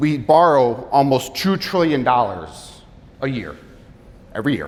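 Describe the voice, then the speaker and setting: A man's medium-pitched, energetic voice with lively intonation, heard with audible room echo. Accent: American. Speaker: financial advisor and military veteran. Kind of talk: seminar presentation. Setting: live seminar with audience. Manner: fast; casual, energetic.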